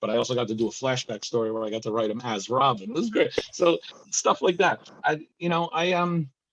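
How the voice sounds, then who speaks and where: A man with an American accent speaks at a fairly quick pace, his medium-pitched voice carrying lively intonation. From New Jersey. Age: 60s. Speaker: comic book writer and novelist. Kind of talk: interview. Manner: halting, many restarts.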